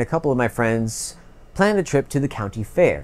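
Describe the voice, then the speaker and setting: The delivery comes at a fairly quick pace. Pitch swings very widely. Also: man. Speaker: video creator. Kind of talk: storytelling vlog narration. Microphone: lapel.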